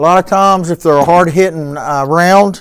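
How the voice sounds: Speaking at a moderate pace, a man has a clear, smooth tone, a fairly high pitch and ordinary pitch variation.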